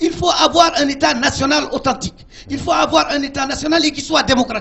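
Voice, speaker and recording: With a Senegalese accent and an extremely high pitch, a man talks at a fairly quick pace with fairly even intonation over noticeable background noise. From Mauritania. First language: Pulaar (speaking French). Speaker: politician. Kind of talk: heated debate. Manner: insistent, interrupting to hold the floor.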